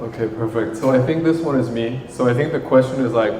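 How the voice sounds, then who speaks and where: The speaker keeps a moderate pace with fairly even intonation. There is audible room echo and noticeable background noise. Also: man. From Thailand. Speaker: marketing agency co-founder. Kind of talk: panel discussion.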